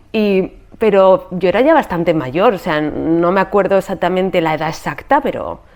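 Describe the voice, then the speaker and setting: A woman with a fairly low-pitched voice. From Spain. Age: 40s. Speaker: podcast host and yoga teacher. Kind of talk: casual interview conversation about her life story. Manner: animated.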